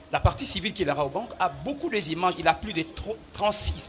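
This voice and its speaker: A man's lively intonation and moderate pace come through noticeable background noise. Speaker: lawyer for the civil party. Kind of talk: courtroom pleading. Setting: courtroom. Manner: formal.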